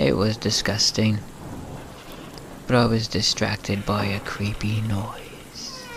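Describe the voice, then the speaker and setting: A man speaks in a fairly low voice at a very slow pace. Long pauses come often, with noticeable noise behind him. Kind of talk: sleep story, scary story reading.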